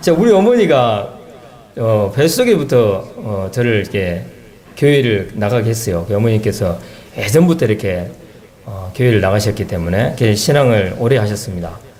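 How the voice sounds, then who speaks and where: A man speaks at a fairly quick pace with lively intonation and a medium pitch, with audible room echo and noticeable background noise. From South Korea, South Jeolla (Haenam). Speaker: church member giving testimony. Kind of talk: testimony.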